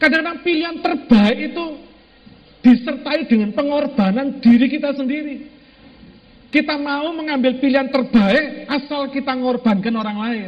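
In a room with audible echo, a man talks with an animated tone at a moderate pace, his extremely high pitch moving with ordinary variation. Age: 50s. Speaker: pastor. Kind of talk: sermon.

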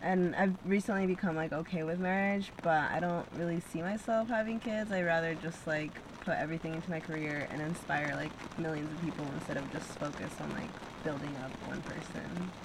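A woman with a fairly low pitch at a fairly quick pace, with ordinary pitch variation, noticeable background noise and audible room echo. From Peru, raised in Salt Lake City, Utah. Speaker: artist and painter. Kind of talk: casual chat.

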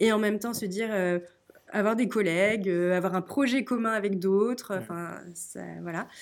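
At a fairly slow pace, a woman talks in an ordinary speaking voice at a medium pitch with ordinary pitch variation. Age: 30s. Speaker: author and guesthouse owner. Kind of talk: storytelling; interview.

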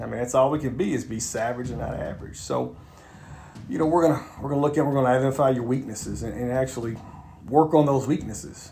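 A man talks very fast at a medium pitch with fairly even intonation. Noticeable background noise and audible room echo fill the recording. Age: 40s. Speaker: podcast host and self-help author. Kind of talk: solo motivational monologue. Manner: halting, many fillers and repetitions.

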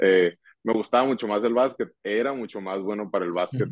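A man speaks at a moderate pace. His pitch is medium with ordinary variation. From Mexico, Hermosillo, Sonora. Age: 20s. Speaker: professional baseball player. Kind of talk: casual interview. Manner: halting, repetitive fillers.

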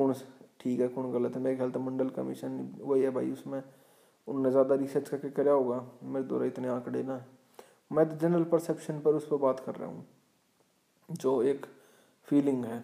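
Delivered at a moderate pace with long, frequent pauses, a man's medium-pitched voice sounds dark and mellow, his intonation monotone and flat. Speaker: podcast host. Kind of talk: solo commentary.

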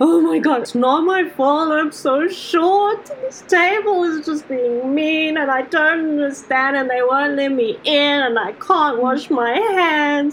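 Using a put-on character voice, a woman sounds whiny at a high pitch and a fairly slow pace, with light background noise. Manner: whining, tearful.

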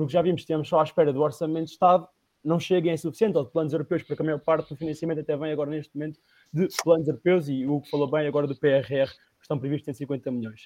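Very fast speech comes from a man with a dark, mellow tone and fairly high pitch, with fairly even intonation. His loudness swings widely, and the sound is dry and close with no echo. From Portugal, Leiria district. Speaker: party representative. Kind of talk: political debate.

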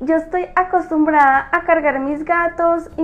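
This is a woman with a high voice. Her intonation stays fairly even. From rural Colombia. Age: 30s. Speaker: energy healer and livestream host. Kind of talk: live-streamed talk to viewers. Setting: live stream.

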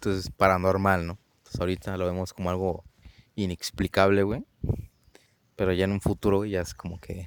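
With a Mexican accent, a man with a very deep, low pitch speaks in monotone, flat intonation, leaving long, frequent pauses. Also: fairly quick pace. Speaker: podcast co-host. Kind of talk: casual chat.

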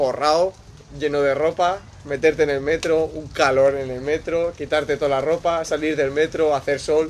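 A man with an ordinary speaking voice talks with a fairly high pitch and fairly even intonation. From Spain. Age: 20s. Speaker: aspiring musician, former DJ. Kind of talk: casual chat.

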